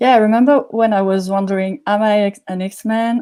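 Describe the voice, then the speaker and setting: A woman with a French accent speaks at medium pitch and a moderate pace, her tone dark and mellow and her intonation fairly even. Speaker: workshop participant. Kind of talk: casual chat.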